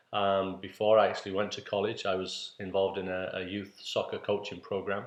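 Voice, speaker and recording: A man with a northeast English accent at a fairly quick pace, over a quiet background. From northeast England, Middlesbrough. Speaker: PE teacher and coach. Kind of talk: introductory talk to parents. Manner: halting with fillers.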